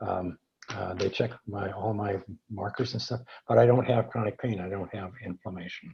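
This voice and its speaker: At a moderate pace, a man speaks with a dark, mellow tone, a fairly low pitch, fairly even intonation, and a somewhat breathy quality. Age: 70s. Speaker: earthing advocate and product developer. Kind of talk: webinar Q&A. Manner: halting.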